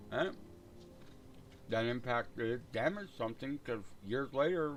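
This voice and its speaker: With a plain, everyday voice, a man speaks at a medium pitch and fairly slow pace, using lively intonation. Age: 60s. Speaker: gaming livestreamer. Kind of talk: casual chat. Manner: rambling, relaxed.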